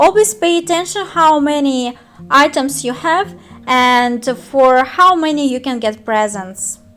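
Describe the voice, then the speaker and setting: Speaking with a Russian accent, a woman uses a high pitch and lively intonation at a fairly slow pace. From Russian-speaking country. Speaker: gaming youtuber. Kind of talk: tutorial. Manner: halting.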